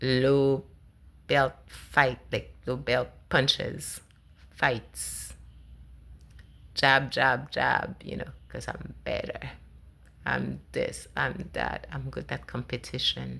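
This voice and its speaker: With a non-native accent, a woman talks at a very slow pace, pausing long and often, her loudness swinging widely. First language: not English. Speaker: spiritual vlogger. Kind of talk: personal monologue. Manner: halting.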